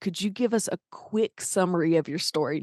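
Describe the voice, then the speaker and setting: Speaking with a Southern US accent at medium pitch and a moderate pace, a woman shows ordinary pitch variation in a dry, close sound with no echo and a quiet background. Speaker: podcast host and singer-songwriter. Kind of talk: interview.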